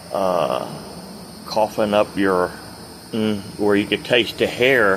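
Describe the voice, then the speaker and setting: Fairly slow, fairly even speech from a man over noticeable background noise. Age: 60s. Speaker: retired truck driver, vlogger. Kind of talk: casual vlog monologue. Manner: rambling, unscripted with hesitations.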